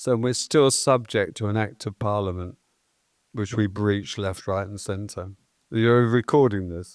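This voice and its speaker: A man with an English accent, fairly low in pitch and fairly even in intonation, speaking at a fairly slow pace on a very clean recording with a silent background. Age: 70s. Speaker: festival promoter. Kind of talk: interview. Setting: stage with audience.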